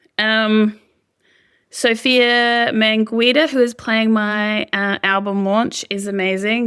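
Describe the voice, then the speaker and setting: A woman with an Australian accent, very slow pace and fairly even intonation. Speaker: singer-songwriter. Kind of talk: interview. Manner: casual, hesitant with fillers.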